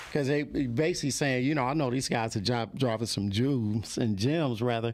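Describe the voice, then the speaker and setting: Over noticeable background noise, a man speaks at a fairly quick pace with very even loudness and ordinary pitch variation. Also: medium pitch for a man. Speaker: podcast host. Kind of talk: casual chat. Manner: soft-spoken.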